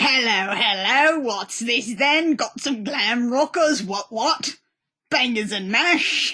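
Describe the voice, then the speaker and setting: A woman puts on a character voice, pitched high, with lively intonation and a very slow pace. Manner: cartoonish, exaggerated.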